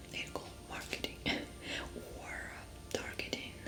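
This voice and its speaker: A woman is whispering. Noticeable background noise can be heard around her. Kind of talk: ASMR role play as a therapist. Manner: soft-spoken. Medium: role play.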